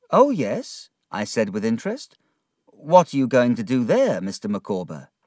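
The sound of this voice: An unforced reading voice is heard against a quiet background.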